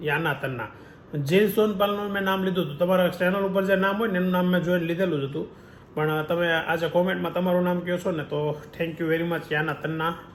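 A high-pitched man speaks with fairly even intonation. Noticeable background noise and room echo can be heard. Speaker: family vlogger. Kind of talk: casual vlog talk to camera.

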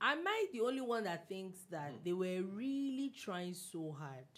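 Fairly low in pitch and somewhat breathy, a woman speaks at a fairly slow pace with very wide pitch swings. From Nigeria. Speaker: radio host. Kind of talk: casual chat. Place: studio. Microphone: studio mic.

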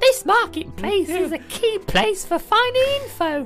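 Over clear music in the background, a put-on character voice at an extremely high pitch delivers lines at a moderate pace. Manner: creepy, eerie.

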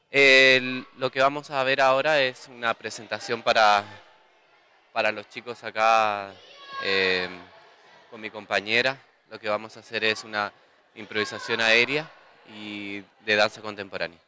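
A man with fairly even intonation and big swings in loudness, long, frequent pauses, a dry sound with no echo, and light background noise. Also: fairly slow pace. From Punta Arenas region, southern Chile; Chile. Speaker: circus and contemporary dance performer. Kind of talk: news interview. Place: gym. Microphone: handheld.

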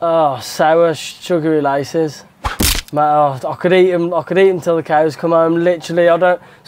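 Noticeable background noise surrounds a man talking. His pitch is high and his intonation monotone and flat. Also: moderate pace. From England, West Midlands (Stourbridge); West Midlands, England. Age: 20s. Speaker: motocross rider. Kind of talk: interview answers. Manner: casual, hesitant fillers. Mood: relaxed, jokey. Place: garage. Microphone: lapel.

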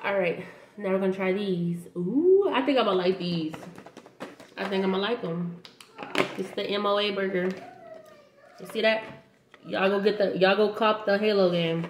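Over light background noise and audible room echo, a woman talks at a moderate pace with fairly even intonation and long, frequent pauses. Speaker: snack reviewer vlogger. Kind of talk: casual vlog chat. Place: kitchen. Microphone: webcam.

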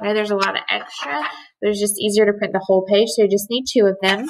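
Very fast speech comes from a woman. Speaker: teacher. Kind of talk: tutorial. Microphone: webcam.

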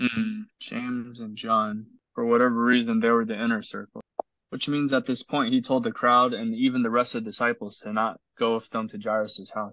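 Over a quiet background, the words come at a fairly quick pace. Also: man, dry sound with no echo. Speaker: Bible study leader. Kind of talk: group Bible study discussion. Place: home room. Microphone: video call.

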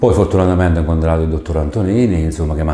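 A man's very deep, low voice comes across somewhat breathy with fairly even intonation. The background is quiet, and there is audible room echo. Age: 50s. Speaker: patient. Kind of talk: testimony. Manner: halting. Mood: calm, grateful. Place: studio. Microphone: lapel.

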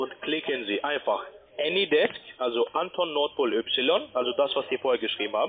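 A man at a moderate pace over light background noise. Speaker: scam call-centre agent. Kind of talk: sales pitch. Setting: phone call. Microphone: phone line.

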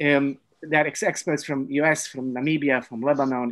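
Against a quiet background, a man with a plain, everyday voice and a fairly high pitch talks at a moderate pace with ordinary pitch variation. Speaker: webinar moderator. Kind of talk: webinar moderation. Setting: video call. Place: home room. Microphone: video call.

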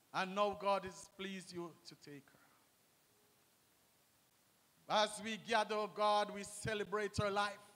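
Speaking at a fairly slow pace, a man uses a raised, projected voice with a bright, sharp tone. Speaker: minister leading prayer. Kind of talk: prayer. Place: church. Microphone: handheld.

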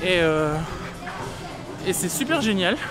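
A man's fairly slow speech over clear background music. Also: dry sound with no echo. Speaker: theme park vlogger. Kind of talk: casual vlog chat. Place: street. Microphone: phone near.

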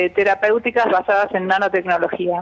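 A woman speaks at a moderate pace. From Argentina. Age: 50s. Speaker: cancer researcher, biologist; interviewee. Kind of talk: phone interview. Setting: phone call. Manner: halting. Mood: calm explanatory. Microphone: phone line.

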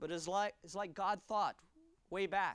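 Against a quiet background, a man speaks at a moderate pace in a bright, sharp tone, the sound dry with no echo. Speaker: pastor. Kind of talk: sermon. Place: church. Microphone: lapel.

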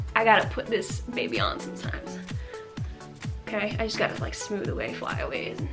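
Over clear background music, a woman speaks at a moderate pace. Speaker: lifestyle vlogger. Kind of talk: casual vlog chat. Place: home room.

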